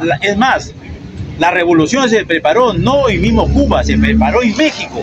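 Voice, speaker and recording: A man speaks at a moderate pace. Crowd noise fills the background. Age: 70s. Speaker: debate participant. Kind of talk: street debate. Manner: halting.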